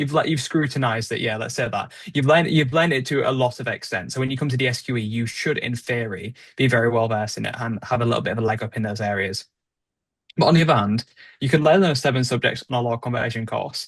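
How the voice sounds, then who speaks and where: A man speaks at a very fast pace in a somewhat breathy, medium-pitched voice. The background is quiet. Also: ordinary pitch variation. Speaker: podcast co-host, trainee solicitor. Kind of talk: casual podcast discussion.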